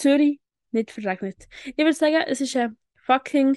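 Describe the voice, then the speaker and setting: Ordinary pitch variation from a woman, in a dry, close sound with no echo. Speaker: podcast co-host. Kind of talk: casual chat.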